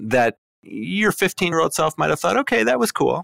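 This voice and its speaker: A man with an American accent speaks at a moderate pace in a fairly high pitch, with very wide pitch swings and vocal fry, in a very clean recording with a silent background and a dry, close sound with no echo. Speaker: journalist guest interviewer. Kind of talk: casual interview.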